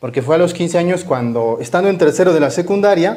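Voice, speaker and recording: High-pitched male speech. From Mexico, Chihuahua. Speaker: Augustinian Recollect friar. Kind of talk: interview chat.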